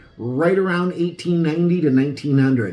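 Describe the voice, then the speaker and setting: A man talks at a fairly quick pace in an enthusiastic tone. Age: 60s. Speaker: antique ornament collector. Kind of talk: show-and-tell video presentation. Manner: casual.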